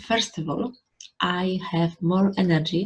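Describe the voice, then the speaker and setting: A woman's fairly low, somewhat breathy voice with a Polish accent. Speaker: YouTuber. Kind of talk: vlog talk to camera.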